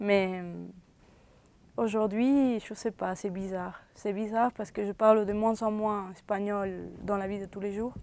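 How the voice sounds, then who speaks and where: A woman speaks in a Spanish accent at medium pitch and a fairly slow pace. The intonation is fairly even, and the recording is very clean with a silent background. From Venezuela. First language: Spanish (speaking French). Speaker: university student. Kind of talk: interview. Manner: halting.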